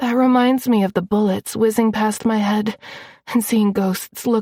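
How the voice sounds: The clip carries a natural reading voice. That voice is the whole recording.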